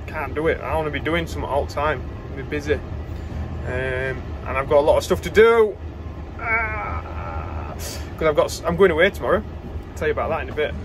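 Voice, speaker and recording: Noticeable background noise runs under a man talking at a fairly quick pace. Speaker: farmer vlogger. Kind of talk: casual vlog chat. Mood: relaxed, slightly bored. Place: car. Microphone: phone near.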